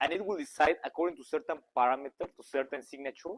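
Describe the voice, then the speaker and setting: Lively intonation marks this man's fairly quick speech. The sound is dry and close, with no echo. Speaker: conference speaker. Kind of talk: technical talk to live audience. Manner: fast; halting, many fillers and restarts.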